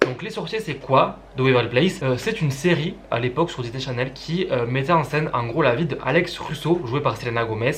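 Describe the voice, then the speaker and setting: Over noticeable background noise, a man with a fairly high voice talks at a fairly quick pace with ordinary pitch variation. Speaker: YouTuber. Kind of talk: casual chat. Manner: fast.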